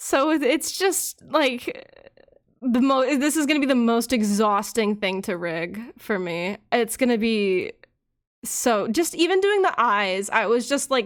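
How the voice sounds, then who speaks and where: A quiet woman's fairly slow, fairly high-pitched speech with lively intonation, on a very clean recording with a silent background. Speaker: vtuber rigging live2d models on stream. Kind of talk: casual livestream chat while working.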